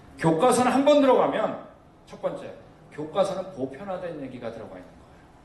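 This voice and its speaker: A man's pitch swings very widely. Noticeable background noise and audible room echo surround him. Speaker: missionary lecturer on creation science. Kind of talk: lecture. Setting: church seminar with audience. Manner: fast; loud.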